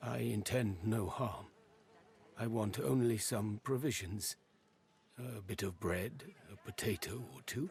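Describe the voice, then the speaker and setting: A man does a put-on character voice with a fairly low pitch. He speaks at a fairly slow pace with long, frequent pauses. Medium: video game. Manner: halting, oddly phrased speech.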